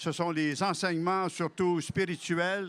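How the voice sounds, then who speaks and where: The man's tone is bright and sharp. He delivers his words at a fairly slow pace. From Quebec, Algonquin family, Abitibi region. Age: 70s. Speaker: author. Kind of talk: interview.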